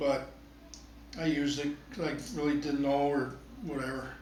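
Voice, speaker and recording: A man with a fairly high pitch speaks fairly slowly amid noticeable background noise and audible room echo. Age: 60s. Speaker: photography hobbyist reviewing gear. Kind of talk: casual product review talk. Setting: at home. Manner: conversational, hesitant with repeats.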